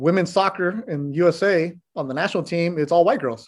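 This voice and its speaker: Here a man has a normal speaking voice. He talks at a moderate pace with ordinary pitch variation. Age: 40s. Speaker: sports reporter and announcer. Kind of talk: casual chat.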